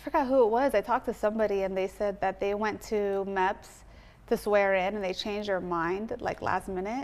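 A woman's unremarkable speaking voice with an American accent, medium pitch, ordinary pitch variation and a fairly quick pace. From US West Coast (Southern California). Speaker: comedian and online creator. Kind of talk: casual chat.

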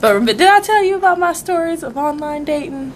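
Fairly quick female speech amid noticeable background noise. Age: 20s. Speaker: podcast co-host. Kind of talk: casual chat.

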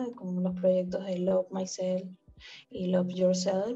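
Music in the background behind a woman at medium pitch. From Venezuela. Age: 20s. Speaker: fan account manager. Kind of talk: casual interview.

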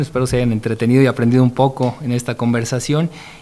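A man talking at a very fast pace. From Mexico, San Luis Potosí. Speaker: industrial park executive. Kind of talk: interview.

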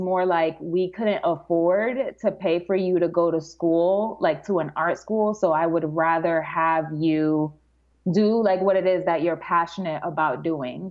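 A woman with an ordinary speaking voice talks at a fairly slow pace, keeping her loudness very even and her pitch variation ordinary. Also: fairly low pitch for a woman. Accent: American. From Dominican Republic, then New York. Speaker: calligraphy artist and teacher. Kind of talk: casual interview chat.

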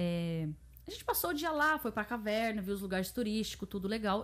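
Her pitch is fairly high and swings very widely as the woman talks at a fairly quick pace. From Japan (Brazilian-born, raised in Japan from age 3). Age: 30s. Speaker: YouTuber. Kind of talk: casual chat.

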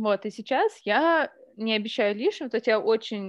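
Speaking at a fairly slow pace, a woman with an ordinary speaking voice and fairly high pitch is heard in a dry, close sound with no echo over a quiet background. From Russia, Omsk and Ryazan. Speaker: editor and author. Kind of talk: casual chat. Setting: home kitchen.

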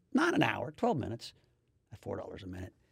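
A somewhat breathy male voice at a very fast pace. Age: 50s. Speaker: podcast host. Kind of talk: casual chat.

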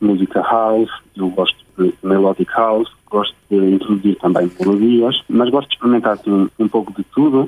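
A man with an unremarkable speaking voice talks at a fairly low pitch and fairly quick pace, with fairly even intonation. His loudness stays very even, and the sound is dry and close with no echo. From Luxembourg, of Portuguese descent. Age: 20s. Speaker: music producer and DJ. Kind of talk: radio interview. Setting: remote link to radio studio.

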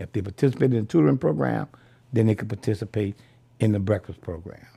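A man with a New Orleans accent, fairly low in pitch, with a dark, mellow tone, somewhat breathy, lively intonation and a fairly quick pace. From New Orleans, Louisiana. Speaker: Vietnam veteran. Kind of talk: oral history interview. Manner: halting, with frequent repetitions.

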